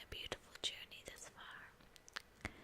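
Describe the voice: A woman is whispering. She goes at a slow pace.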